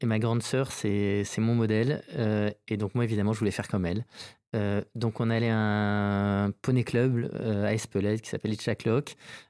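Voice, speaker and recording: On a very clean recording with a silent background, a man speaks at a fairly slow pace with fairly low pitch, a dark, mellow tone and monotone, flat intonation. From French Basque Country (Saint-Jean-de-Luz). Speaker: company founder. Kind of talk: interview. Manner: halting, many hesitations.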